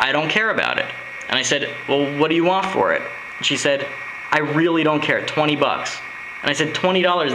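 Noticeable background noise is present. Over it, a man speaks fairly quickly, his pitch varying in an ordinary way. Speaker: garage sale reseller. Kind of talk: casual vlog chat. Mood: excited, storytelling. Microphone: phone near.

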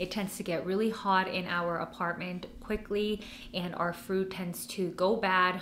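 Fairly even intonation marks a woman speaking at a fairly slow pace. Light background noise can be heard. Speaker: lifestyle vlogger. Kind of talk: casual vlog chat. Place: home room. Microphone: camera far.

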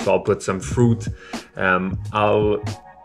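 Over faint background music, the speech moves at a fairly slow pace with fairly even intonation. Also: man. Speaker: cyclist vlogger. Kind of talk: casual vlog chat. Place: garage. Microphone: phone near.

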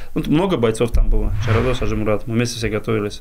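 There is light background noise. A man speaks with fairly even intonation. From Dagestan, Russia. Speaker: boxer and MMA fighter. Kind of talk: casual interview. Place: studio. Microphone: studio mic.

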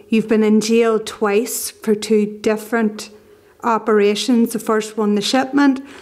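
A fairly high female voice. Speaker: podcast host and journalist; podcast host, journalist. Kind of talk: interview. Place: home room. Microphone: studio mic.

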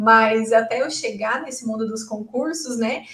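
With audible room echo around her, a woman talks at a fairly slow pace. Her pitch is high. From Brazil, Londrina, Paraná; Paraná, Brazil. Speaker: public exam candidate, former student; public candidate. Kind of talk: interview testimony. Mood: friendly, animated storytelling. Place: office. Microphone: earbuds.

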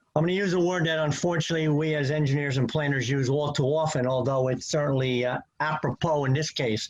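With fairly high pitch and ordinary pitch variation, a man talks in an ordinary speaking voice. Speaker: engineer and planner giving testimony. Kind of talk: expert testimony at public hearing. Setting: video call. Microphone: connection freezing.

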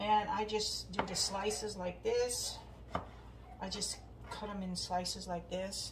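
Loud background noise behind a woman's fairly slow speech. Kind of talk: cooking tutorial chat. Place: kitchen. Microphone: camera far.

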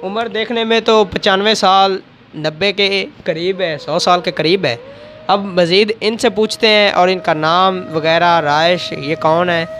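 Ordinary pitch variation over light background noise. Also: man, high pitch for a man. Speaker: video host. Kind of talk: casual talk to camera. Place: home room. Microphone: lapel.

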